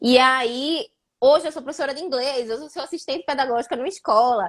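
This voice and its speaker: A woman talks at a very fast pace. She uses lively intonation. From Brazil, Recife (Pernambuco). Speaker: live show host, former PhD student. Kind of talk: casual live chat. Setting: Instagram live video.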